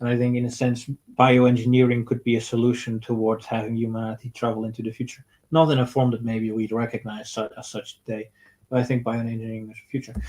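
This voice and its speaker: A man talks at a very fast pace with a medium pitch, flat monotone intonation, and big swings in loudness. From Netherlands and Portugal. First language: Dutch. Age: 30s. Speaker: streamer. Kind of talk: live stream Q&A. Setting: home, comfy chair. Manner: halting.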